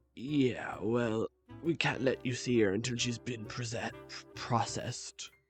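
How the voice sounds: A man's gravelly, raspy put-on character voice at medium pitch and a fairly slow pace, with faint music in the background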